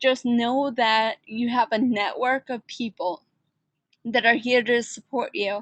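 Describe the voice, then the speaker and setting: A woman with an American accent speaks at a very slow pace in a high voice. The sound is dry and close with no echo, over a quiet background. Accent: New York accent, varies in strength. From New York. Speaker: online instructor. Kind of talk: online class orientation talk. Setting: live online session. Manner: laid back.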